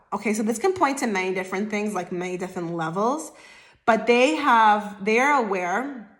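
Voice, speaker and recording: A woman's fairly high-pitched voice at a moderate pace, with ordinary pitch variation and audible room echo. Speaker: tarot reader. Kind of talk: tarot reading to camera. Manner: stutters over words; casual, filler-heavy.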